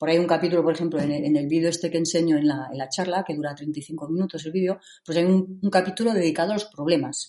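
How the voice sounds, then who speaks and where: A woman's dark, mellow voice at a very fast pace. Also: fairly low pitch for a woman, fairly even intonation, hardly any pauses. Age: 50s. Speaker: rock climber. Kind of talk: interview. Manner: halting.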